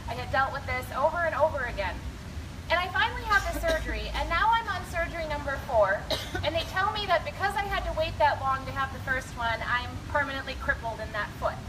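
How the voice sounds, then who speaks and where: A woman talks at a fairly quick pace with an American accent. Noticeable background noise and audible room echo fill the recording. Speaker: teacher. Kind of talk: speech at a rally. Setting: stage with audience and PA system. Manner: loud.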